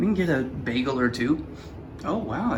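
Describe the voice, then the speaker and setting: A man speaks quietly with lively intonation, amid noticeable background noise and audible room echo. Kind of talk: casual chat. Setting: hotel room.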